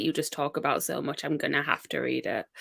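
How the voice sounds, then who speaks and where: This woman talks at a very fast pace. The recording is very clean, with a silent background. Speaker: book blogger co-streamer. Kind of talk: casual livestream chat. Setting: livestream.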